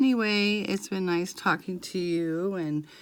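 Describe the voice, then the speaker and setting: Through noticeable background noise, a woman talks at a fairly slow pace. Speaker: craft vlogger. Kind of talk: casual chat. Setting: home at night, quiet. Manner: monotone, quieter than usual; halting, many fillers.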